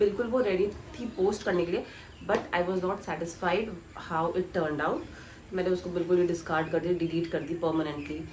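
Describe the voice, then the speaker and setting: Against noticeable background noise and audible room echo, a woman talks at a fairly low pitch with fairly even intonation. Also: moderate pace. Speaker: YouTuber, chartered accountancy trainee. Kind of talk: vlog Q&A. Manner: casual, code-switching Hindi and English.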